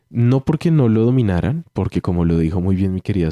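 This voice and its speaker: In a dry, close sound with no echo, a man with a Colombian accent speaks at a very deep, low pitch with a dark, mellow tone, ordinary pitch variation and a moderate pace. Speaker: theatre arts teacher. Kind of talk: radio interview.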